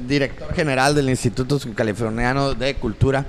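A man talks at a moderate pace as noticeable background noise carries on behind him. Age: 30s. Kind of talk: casual banter, bar talk show. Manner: joking, slangy.

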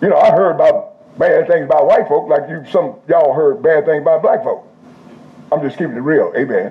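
A man talks at a fairly quick pace in an animated tone. Noticeable background noise runs behind him. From Indianapolis, US Midwest. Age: 70s. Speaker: pastor. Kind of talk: sermon. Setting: church service with live audience.

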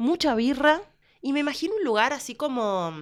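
A plain, everyday voice with lively intonation at a moderate pace, in a very clean recording with a silent background. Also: woman. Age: 30s. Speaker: podcast co-host. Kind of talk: casual chat.

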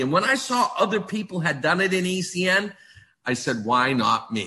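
Raising and projecting his voice, a man speaks at a fairly slow pace in a high, bright, sharp tone with very wide pitch swings. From US, Maine. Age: 60s. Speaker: direct-selling business leader. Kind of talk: motivational sales pitch. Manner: animated.

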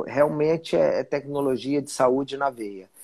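A man has an ordinary speaking voice with a fairly high pitch. His intonation is fairly even. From Brasília, Brazil. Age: 40s. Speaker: journalist turned entrepreneur. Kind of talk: casual interview on a livestream.

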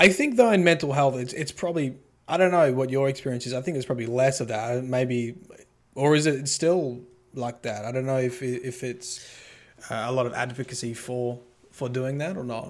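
Here is a man with a medium pitch. He speaks with an Australian accent. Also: ordinary pitch variation, moderate pace. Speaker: occupational therapist and YouTuber. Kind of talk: casual chat.

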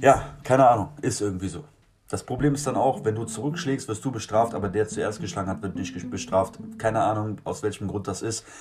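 Delivery comes at a fairly quick pace. The voice sounds somewhat breathy, and its pitch varies in an ordinary way. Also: man, fairly low pitch for a man. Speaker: street musician. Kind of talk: casual monologue. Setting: garden shed. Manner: animated.

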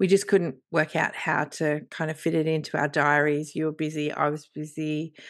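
A woman's very deep, low voice with an Australian accent, monotone and flat, at a moderate pace with hardly any pauses, against a quiet background. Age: 50s. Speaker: podcast co-host and writer. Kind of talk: casual chat.

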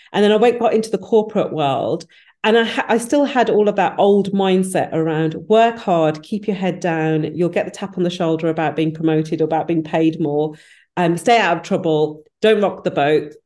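With a West Midlands accent, a woman speaks in a fairly low, dark, mellow voice at a moderate pace. Her pitch varies in an ordinary way against a quiet background. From English Midlands (Wolverhampton), British Punjabi Sikh family. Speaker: business founder and HR professional. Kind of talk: interview.

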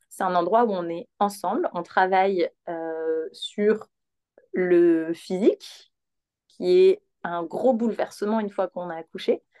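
Dark and mellow in tone, a woman speaks at medium pitch and a very slow pace, leaving long, frequent pauses. The sound is dry and close, with no echo. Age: 30s. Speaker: perinatal yoga teacher. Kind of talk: guided exercise instruction; casual interview.

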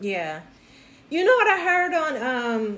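At a moderate pace, the speaker sounds animated over noticeable background noise and audible room echo. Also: woman. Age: 50s. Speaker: podcast host. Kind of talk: casual chat.

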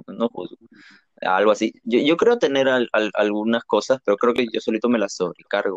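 A man talks at a fairly quick pace in a plain, everyday voice at medium pitch, with a dry, close sound and no echo. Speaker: podcast co-host. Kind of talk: casual chat.

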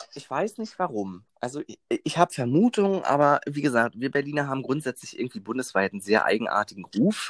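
A man talks at a fairly quick pace with very wide pitch swings on a very clean recording with a silent background. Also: hardly any pauses, dry, close sound with no echo. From Berlin. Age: 20s. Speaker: train conductor. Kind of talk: interview. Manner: hesitant, many fillers.

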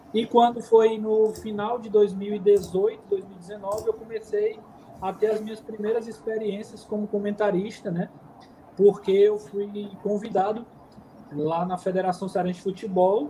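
The speech moves at a fairly slow pace with monotone, flat intonation and big swings in loudness. Noticeable background noise runs underneath. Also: man, high pitch for a man. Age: 30s. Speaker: football commentator. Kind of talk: casual interview.

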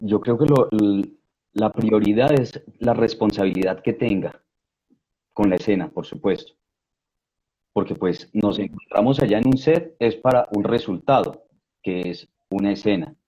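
Speaking at a fairly slow pace with long, frequent pauses, a man uses a dark, mellow tone and ordinary pitch variation. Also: medium pitch for a man. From Colombia, provinces outside Bogotá. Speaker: actor, director and casting director. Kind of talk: interview.

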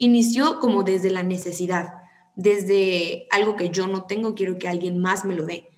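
This woman has a plain, everyday voice, with medium pitch and a moderate pace. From Mexico, Tampico. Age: 20s. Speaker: psychology student. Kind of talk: casual chat.

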